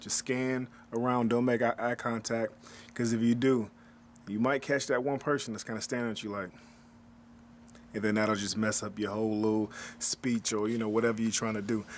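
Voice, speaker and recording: A man's monotone, flat delivery at a medium pitch and fairly quick pace, broken by long, frequent pauses, on a very clean recording with a silent background. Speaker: DJ. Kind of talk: casual talk to camera. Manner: casual, halting.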